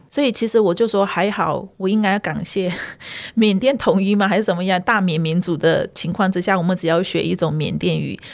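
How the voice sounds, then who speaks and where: With ordinary pitch variation, this unremarkable speaking voice keeps up a fairly quick pace. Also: woman, medium pitch for a woman. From northern Myanmar (ethnic Chinese, Yunnan ancestry). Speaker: community association staff and Burmese language teacher. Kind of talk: interview, personal storytelling.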